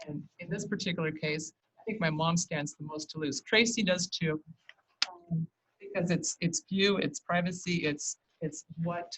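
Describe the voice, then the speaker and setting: Somewhat breathy and fairly low, the woman's voice shows ordinary pitch variation. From St. Helens, Oregon. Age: 60s. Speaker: public commenter. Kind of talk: public testimony. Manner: halting.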